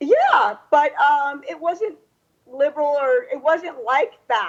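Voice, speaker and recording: A woman's high-pitched voice at a very slow pace, full of very wide pitch swings. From US, Cuban-American family. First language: Spanish. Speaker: magazine publisher and podcast host. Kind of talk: interview talk show. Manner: conversational, hesitant fillers.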